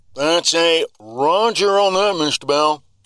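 A man speaks very slowly in a high-pitched, put-on character voice.

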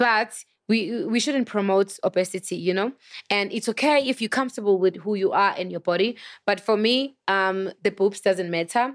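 A woman with a Zulu accent in a dry, close sound with no echo and a very clean recording with a silent background. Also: medium pitch for a woman, ordinary pitch variation, moderate pace. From South Africa. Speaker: chef. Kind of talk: casual chat.

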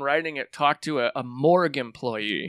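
Here a man has an unremarkable speaking voice with lively intonation, at a moderate pace. The recording is very clean with a silent background, its sound dry and close with no echo. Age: 40s. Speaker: podcast host and comedian. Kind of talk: casual chat.

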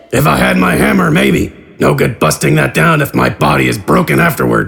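A man's put-on character voice, raspy and very deep, at a fairly quick pace. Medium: audio drama. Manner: gruff, blunt.

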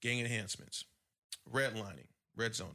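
Bright and sharp in tone, a man with an American accent speaks with fairly even intonation. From US Midwest, south side of Chicago. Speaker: podcast co-host. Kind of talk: casual chat.

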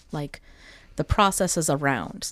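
A woman speaks in a normal speaking voice, fairly low in pitch, with an American accent and ordinary pitch variation. Her pace is moderate, and the recording is very clean with a silent background. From US Midwest (Wisconsin). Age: 30s. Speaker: educator. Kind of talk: casual interview.

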